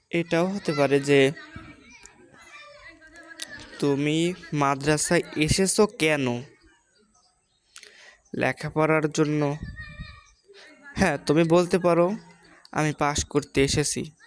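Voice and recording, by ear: Woman's low voice at a slow pace, broken by long, frequent pauses. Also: ordinary pitch variation.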